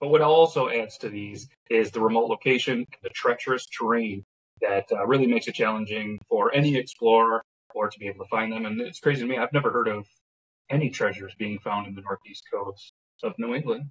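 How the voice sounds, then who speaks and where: A man talks at a fairly quick pace, somewhat breathy, with ordinary pitch variation. His loudness swings a lot from moment to moment. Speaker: podcast co-host. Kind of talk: podcast reading and casual chat. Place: home room. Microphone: phone near.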